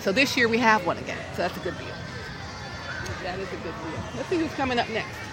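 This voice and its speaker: A woman with an American accent and lively intonation at a moderate pace, hardly any pauses, crowd noise in the background. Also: fairly high pitch for a woman. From US South, Georgia. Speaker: parade announcer. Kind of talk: live parade commentary, cheerful, ad-libbed. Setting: outdoors at a parade. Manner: animated; jokey, laughing.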